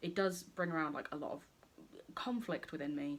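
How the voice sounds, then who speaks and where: A woman with an English accent and very wide pitch swings. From England. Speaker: beauty youtuber. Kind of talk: makeup tutorial. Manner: casual, chatty.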